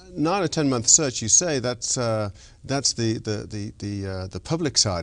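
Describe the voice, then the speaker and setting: Speaking with a non-native accent, a man uses lively intonation at a medium pitch and a moderate pace. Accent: foreign, noticeable. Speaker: orchestra conductor. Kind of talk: interview.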